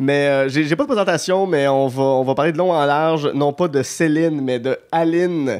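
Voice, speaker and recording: In a normal speaking voice, this speaker talks at a moderate pace with hardly any pauses, fairly even intonation and very even loudness. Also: man, fairly high pitch for a man. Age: 30s. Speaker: podcast host. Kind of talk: casual chat.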